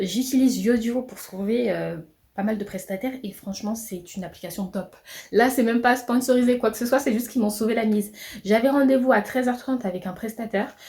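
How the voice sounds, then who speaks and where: A woman with a dark, mellow tone speaks at a fairly high pitch with fairly even intonation. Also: fairly quick pace. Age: 20s. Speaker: entrepreneur vlogger. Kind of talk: vlog monologue. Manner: fast; hesitant fillers.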